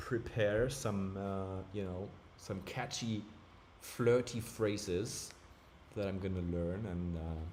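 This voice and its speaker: At a fairly slow pace, a man speaks in a somewhat breathy, animated tone with audible room echo. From Germany. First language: German. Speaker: streamer. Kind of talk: live stream chat. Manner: casual, animated.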